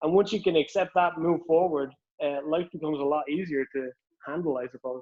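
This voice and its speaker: Fairly high-pitched, a man with a strong Irish accent talks at a fairly quick pace with fairly even intonation. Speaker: author. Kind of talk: casual chat.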